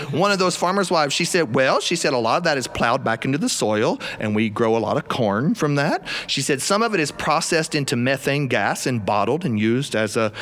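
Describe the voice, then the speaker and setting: Here a man talks with an animated tone at a fairly quick pace, with hardly any pauses and very even loudness. His pitch is fairly high, his intonation lively, and background noise is noticeable. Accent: South Carolina. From South Carolina. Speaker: storyteller. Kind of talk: live storytelling performance. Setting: studio with live audience.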